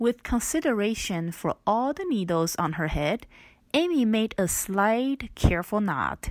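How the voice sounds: Intonation is lively in this natural reading voice.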